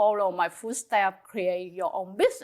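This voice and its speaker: A woman is speaking. Her voice has a fairly high pitch. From Vietnam, Saigon. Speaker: small business owner, mother of host. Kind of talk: casual interview. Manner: halting.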